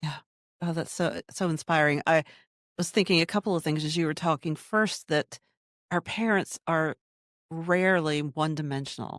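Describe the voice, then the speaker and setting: Her pace is moderate, broken by long, frequent pauses, and this woman's fairly low pitch carries fairly even intonation. The sound is dry and close with no echo. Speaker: podcast host. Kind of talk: podcast interview host.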